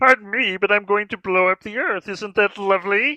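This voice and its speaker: The speaker uses a put-on character voice. It is croaky and fairly high-pitched. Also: moderate pace. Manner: calmly polite while threatening destruction.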